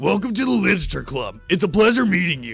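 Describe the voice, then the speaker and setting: A man's put-on character voice, high in pitch, with very wide pitch swings, big swings in loudness, a fairly quick pace, and faint music in the background. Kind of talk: formal, polite.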